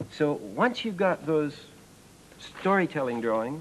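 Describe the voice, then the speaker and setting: A man at a fairly slow pace over light background noise. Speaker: presenter. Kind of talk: tutorial. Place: studio.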